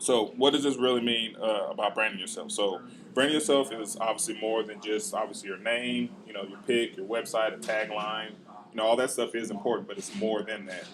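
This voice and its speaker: The pitch varies in an ordinary way, and there is noticeable background noise. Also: man, medium pitch for a man, fairly quick pace. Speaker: marketing trainer. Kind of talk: live workshop presentation. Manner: fast; halting with many fillers.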